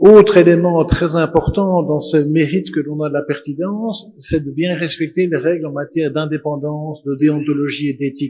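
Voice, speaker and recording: An ordinary speaking voice from a man, fairly high in pitch, moderate in pace, with fairly even intonation and hardly any pauses. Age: 60s. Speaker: auditor and panelist. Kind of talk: conference panel talk.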